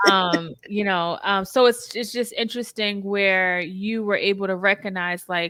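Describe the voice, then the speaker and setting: A woman with a Boston accent at medium pitch, fairly slow in pace and fairly even in intonation, with hardly any pauses. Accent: Boston American. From US, Boston (Roxbury). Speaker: therapist, podcast host. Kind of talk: interview conversation.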